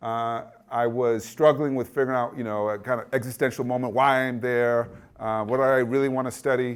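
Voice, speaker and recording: On a very clean recording with a silent background, a man talks at a fairly quick pace in a medium pitch with monotone, flat intonation. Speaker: education professor. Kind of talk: lecture. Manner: fast.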